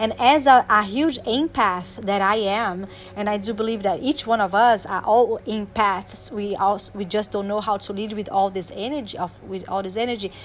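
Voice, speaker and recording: At a moderate pace with hardly any pauses, a woman speaks at a medium pitch with ordinary pitch variation and a non-native accent. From Brazil. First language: Portuguese. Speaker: life coach. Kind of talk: motivational talk. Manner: animated; halting.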